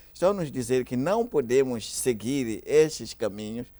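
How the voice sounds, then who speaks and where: This man has a dark, mellow tone and speaks with a Mozambican accent. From Mozambique. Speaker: pastor. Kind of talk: panel discussion. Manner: halting.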